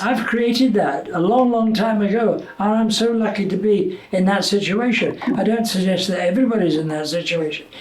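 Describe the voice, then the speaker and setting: A man with a Scottish accent speaks at a moderate pace with a high pitch. His pitch varies in an ordinary way over noticeable background noise. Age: 80s+. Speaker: retired TV presenter. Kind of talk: interview answer.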